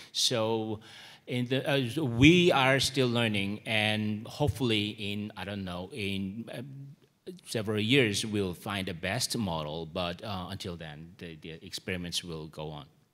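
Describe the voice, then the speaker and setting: Speaking fairly slowly with hardly any pauses, a man with a Korean accent has a fairly low pitch. His intonation is lively and his loudness swings widely. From South Korea. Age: 40s. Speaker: media content strategist. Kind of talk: conference presentation. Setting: stage with audience.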